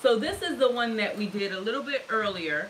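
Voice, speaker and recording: Over light background noise, a woman speaks with lively intonation. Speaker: soap maker hosting a live stream. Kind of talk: casual live-stream tutorial chat. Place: workshop. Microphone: camera far.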